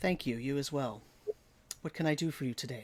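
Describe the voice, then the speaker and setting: Doing a put-on character voice, a man talks raspily at a fairly high pitch and a fairly quick pace. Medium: actual play. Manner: calm, measured.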